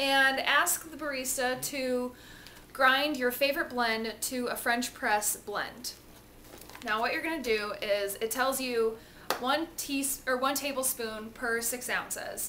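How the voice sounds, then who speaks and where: A woman speaks at a fairly slow pace in a raised, projected voice with fairly even intonation over noticeable background noise. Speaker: home cooking demonstrator. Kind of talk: tutorial. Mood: cheerful and chatty. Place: kitchen. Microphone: phone near.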